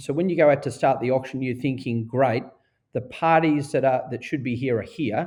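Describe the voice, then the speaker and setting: A medium-pitched man with an Australian accent, fairly quick pace and fairly even intonation, against a quiet background. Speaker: auctioneer and real estate director. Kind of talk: podcast interview answer.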